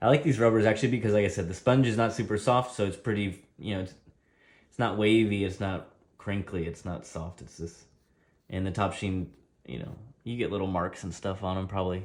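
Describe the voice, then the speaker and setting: Showing big swings in loudness, a man talks in an unremarkable speaking voice with a fairly low pitch and ordinary pitch variation. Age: 30s. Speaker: table tennis player and streamer. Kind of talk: live stream tutorial with chat. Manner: casual, conversational.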